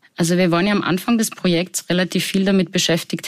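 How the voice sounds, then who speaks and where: A woman speaks in a Salzburg accent at a medium pitch. Her pace is fairly quick. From Austria, Salzburg. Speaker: psychologist. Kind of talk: interview. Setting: studio.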